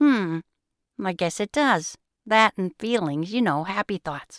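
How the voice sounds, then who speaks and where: On a very clean recording with a silent background, a female-sounding voice puts on a character voice at a middle pitch and a fairly slow pace. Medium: read story. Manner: soft, thoughtful.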